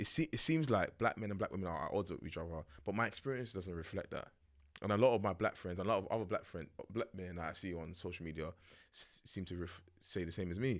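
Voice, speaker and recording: In a London accent, a man talks at a very fast pace with a very deep, low pitch and ordinary pitch variation, recorded very cleanly against a silent background. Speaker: podcast host. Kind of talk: casual chat.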